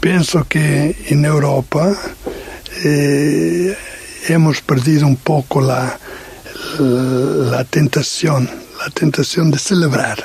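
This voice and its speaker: Over noticeable background noise, a man with a fairly high pitch speaks at a very slow pace with long, frequent pauses, fairly even intonation and very even loudness. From Portugal. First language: Portuguese (speaking Spanish). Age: 60s. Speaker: missionary. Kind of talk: radio interview testimony. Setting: radio studio, late night. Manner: halting, many hesitations.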